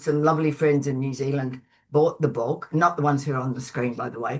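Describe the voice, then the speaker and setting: A woman's voice with a very deep, low pitch. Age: 70s. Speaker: author and Buddhist practitioner. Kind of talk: webinar interview.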